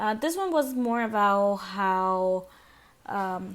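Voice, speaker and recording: A woman speaks at a medium pitch with a non-native accent. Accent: non-native, self-noted pronunciation issues. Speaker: student presenter. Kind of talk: class presentation. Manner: halting, many repetitions and fillers.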